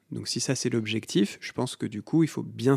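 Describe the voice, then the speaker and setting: Dark and mellow in tone, the voice moves at a fairly quick pace with ordinary pitch variation, on a very clean recording with a silent background and a dry, close sound with no echo. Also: man. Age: 30s. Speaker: osteopath and legal scholar. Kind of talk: interview. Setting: in person at host's home.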